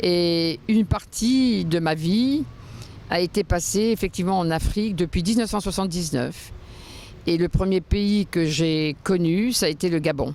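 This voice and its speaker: Fairly low in pitch, a woman with an unremarkable speaking voice talks at a fairly slow pace, with ordinary pitch variation and very even loudness. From France. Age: 60s. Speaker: interviewee, former luxury real estate professional. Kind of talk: interview testimony. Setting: outdoors on the Seine quays.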